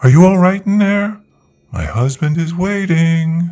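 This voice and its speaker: A put-on character voice from a man, high-pitched and at a fairly slow pace. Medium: read story. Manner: slow, deliberate, gentle with sharp undertone.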